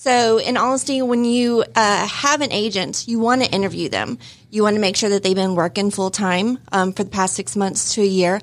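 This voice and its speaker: The pace is moderate and the pitch varies in an ordinary way. This is an unremarkable speaking voice with an American accent. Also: woman, medium pitch for a woman. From US Midwest. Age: 40s. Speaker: real estate agent. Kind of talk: casual chat. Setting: studio.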